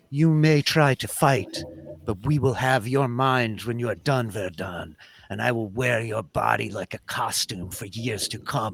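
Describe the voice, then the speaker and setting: Putting on a character voice with a menacing tone, a man speaks at a medium pitch and a moderate pace with ordinary pitch variation. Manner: menacing, echoing; taunting, sinister.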